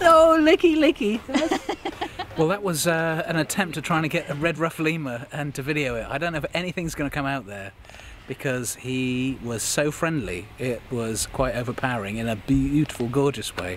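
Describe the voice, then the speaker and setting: With lively intonation and a fairly high pitch, a man speaks at a moderate pace while noticeable background noise carries on. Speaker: travel presenter. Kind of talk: casual on-location presenting. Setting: outdoors at a zoo. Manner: whispering.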